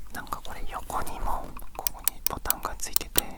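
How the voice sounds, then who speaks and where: A man is whispering against noticeable background noise. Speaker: ASMR creator. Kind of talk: ASMR show-and-tell talk. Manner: whispered.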